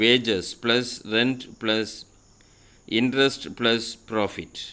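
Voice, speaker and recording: At a very slow pace, a man talks with a medium pitch. The recording is very clean, with a silent background. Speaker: school social science teacher. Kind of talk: lecture. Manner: formal.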